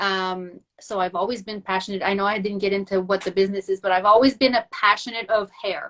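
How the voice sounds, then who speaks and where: Speaking fairly quickly in a medium pitch, a woman keeps her intonation monotone and flat. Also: hardly any pauses. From Quebec. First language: French. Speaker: entrepreneur. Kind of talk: casual chat. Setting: video call.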